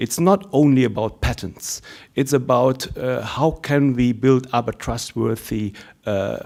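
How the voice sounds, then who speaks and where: A man speaks at a fairly slow pace and medium pitch with ordinary pitch variation. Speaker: research ethics network representative. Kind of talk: conference Q&A comment. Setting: conference hall. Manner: halting, many filler words.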